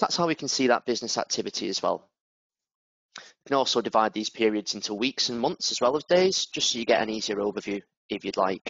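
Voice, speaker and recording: With a northern English accent, a man at medium pitch talks at a very fast pace with lively intonation. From northern England. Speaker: product manager. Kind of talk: software demo webinar. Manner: casual, with fillers.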